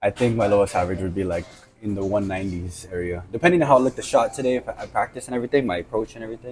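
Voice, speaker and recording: A man's somewhat breathy voice races at a very fast pace, its pitch varying in an ordinary way. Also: fairly low pitch for a man. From Guam. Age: 20s. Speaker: bowler. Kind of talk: interview.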